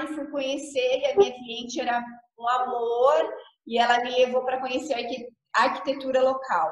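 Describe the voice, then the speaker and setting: Audible room echo surrounds a woman speaking in a high voice. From Paraná, southern Brazil. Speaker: architect. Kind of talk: interview.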